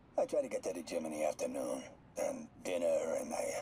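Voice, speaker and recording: Over clear background noise, a man puts on a raspy character voice and talks at a fairly quick pace. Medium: video game. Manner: casual, unbothered.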